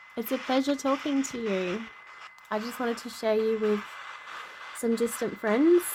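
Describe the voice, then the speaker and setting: Long, frequent pauses mark a woman's fairly high voice with ordinary pitch variation, heard over noticeable background noise. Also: moderate pace. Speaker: paranormal investigator. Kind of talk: tutorial. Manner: loud and clear.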